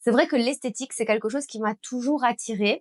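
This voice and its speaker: A woman's fairly high-pitched voice at a fairly quick pace, with ordinary pitch variation and a dry, close sound with no echo. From Belgium. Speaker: beauty business owner and trainer. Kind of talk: personal story vlog.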